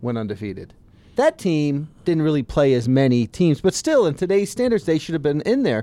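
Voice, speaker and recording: A man with an American accent, a fairly high pitch and a dark, mellow tone, talking at a fairly quick pace on a very clean recording with a silent background. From US South, Southwest Florida. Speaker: sports media podcast co-host. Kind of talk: casual chat.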